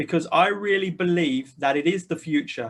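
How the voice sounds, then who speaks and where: A man talks at a moderate pace with ordinary pitch variation. His voice sits high in pitch. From UK. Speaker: full-time investor. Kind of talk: personal introduction to camera.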